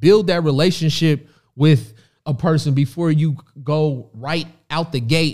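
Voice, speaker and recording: With an American accent, a man talks in a plain, everyday voice, fairly high in pitch, at a fairly slow pace with fairly even intonation. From Indianapolis, Indiana (US Midwest). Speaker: entrepreneur and music producer. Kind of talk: casual interview.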